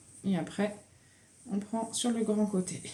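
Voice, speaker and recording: Very slowly, a woman speaks in a fairly high, somewhat breathy voice. Her tone is dark and mellow. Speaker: knitting vlogger. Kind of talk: casual vlog chat.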